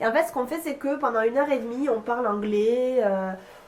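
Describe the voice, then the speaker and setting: A woman's high-pitched voice against noticeable background noise. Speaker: vlogger and English teacher. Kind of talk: casual vlog. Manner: hesitant, many fillers.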